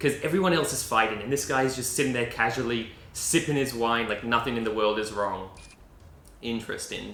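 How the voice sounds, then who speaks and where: Amid noticeable background noise and audible room echo, a man of medium pitch talks at a fairly quick pace with ordinary pitch variation. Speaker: anime reaction youtuber. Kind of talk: casual video commentary. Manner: rambling, hesitant with fillers.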